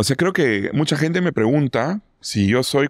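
The intonation is lively. The background is quiet. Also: man. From Lima, Peru. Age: 40s. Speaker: food critic; interview guest. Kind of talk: interview. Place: studio. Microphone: studio mic.

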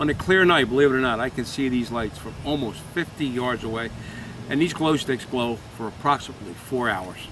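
Amid noticeable background noise, a man talks at a fairly quick pace in a dry sound with no echo. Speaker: fishing guide. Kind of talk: tutorial. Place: boat. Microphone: camera far.

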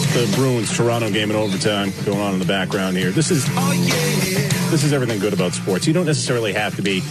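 A man at a very fast pace with hardly any pauses, dry and echo-free, over loud background music. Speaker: radio show host. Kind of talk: radio show monologue. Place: studio.

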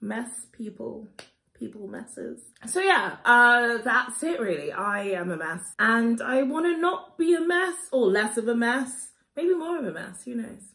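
A woman with a London accent speaks at a fairly slow pace in a fairly high, bright, sharp voice, with very wide pitch swings and big swings in loudness against a quiet background. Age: 20s. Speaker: YouTuber. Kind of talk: vlog. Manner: casual, hesitant. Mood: playful, self-mocking. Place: home room. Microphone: phone near.

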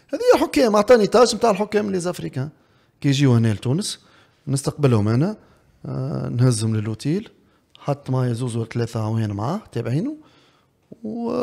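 In a Tunisian accent, a man speaks at a moderate pace with long, frequent pauses and very wide pitch swings. His medium-pitched voice has a dark, mellow tone against a quiet background. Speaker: former football referee; interview guest. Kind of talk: interview. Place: studio. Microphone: studio mic.

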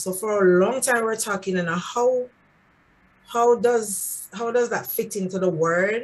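Speaking fairly slowly, a woman shows ordinary pitch variation. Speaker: student. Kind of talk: class discussion. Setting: video call. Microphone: video call.

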